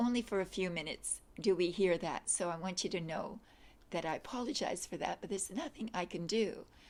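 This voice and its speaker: On a very clean recording with a silent background, a woman talks at a moderate pace in a medium pitch with ordinary pitch variation. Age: 60s. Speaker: yoga instructor. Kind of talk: casual introduction to a video class. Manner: hesitant, many fillers.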